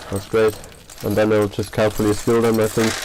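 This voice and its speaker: A man speaks with a non-native accent at a fairly low pitch. There is noticeable background noise. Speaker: 3D printing maker, channel owner. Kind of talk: live stream unboxing. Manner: hesitant, many fillers. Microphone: bad audio.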